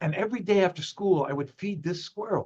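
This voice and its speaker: Animated in tone, a man with a New York accent speaks at a fairly quick pace. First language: Spanish. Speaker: zoo ambassador and wildlife photographer. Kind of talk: interview.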